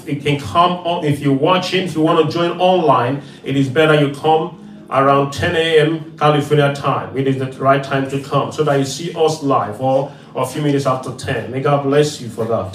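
A man's fairly high voice at a moderate pace, fairly even in intonation, with hardly any pauses, music in the background and audible room echo. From Nigeria. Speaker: evangelist. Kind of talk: prayer and offering announcements.

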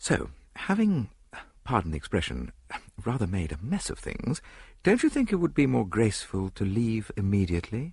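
A man does a put-on character voice at a fairly low pitch with very wide pitch swings, its slightly mellow tone carrying vocal fry and a slightly husky edge. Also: moderate pace.

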